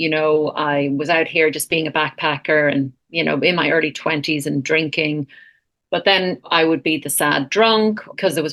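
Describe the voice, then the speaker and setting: Speaking in an Irish accent, a woman has a very deep, low pitch. Her pace is moderate and her intonation fairly even. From Ireland. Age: 40s. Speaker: counsellor and retreat founder. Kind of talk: podcast interview.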